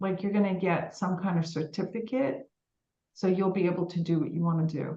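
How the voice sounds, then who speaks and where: At a moderate pace, a woman with a New York accent speaks in a somewhat breathy voice at medium pitch with ordinary pitch variation. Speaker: psychic medium. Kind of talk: live psychic reading. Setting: live stream video meeting. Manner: warm, informal, with fillers.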